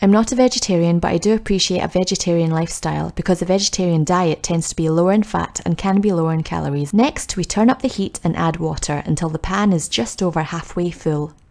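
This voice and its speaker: A woman speaks very fast in a Scottish accent, her pitch fairly low with ordinary variation. Her tone is upbeat and cheerful. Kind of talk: cooking tutorial voice-over. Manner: upbeat, cheerful.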